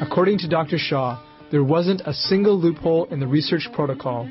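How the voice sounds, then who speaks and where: Music plays in the background. A man talks at a fairly high pitch and a fairly quick pace. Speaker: TV show host. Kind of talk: TV documentary narration.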